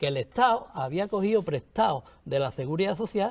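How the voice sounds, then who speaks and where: This is an ordinary speaking voice from a man with lively intonation at a moderate pace. The recording is very clean, with a silent background. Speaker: pensioner platform representative. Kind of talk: panel debate.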